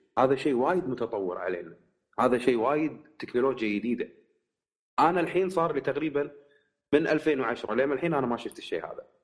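At a moderate pace, a man with a fairly high pitch talks in an ordinary speaking voice. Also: lively intonation. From Kuwait. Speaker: tech podcast guest. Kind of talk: casual chat.

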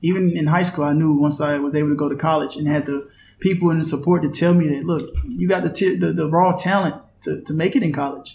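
A man with an American accent, somewhat breathy, very fast, at a fairly high pitch for a man with ordinary pitch variation. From North Carolina, US. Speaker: professional basketball player. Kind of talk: interview.

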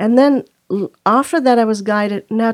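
A woman with an unremarkable speaking voice talks at a fairly slow pace in a fairly high pitch with ordinary pitch variation, recorded dry and close with no echo. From India, moved to US at seven. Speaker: meditation teacher. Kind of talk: casual chat.

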